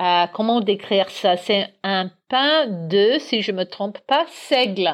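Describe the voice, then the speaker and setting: A woman with an English accent speaks at a very slow pace, her pitch medium and her intonation lively. The background is quiet. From Northern Ireland, Belfast. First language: English (speaking French). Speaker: guest. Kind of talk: casual chat.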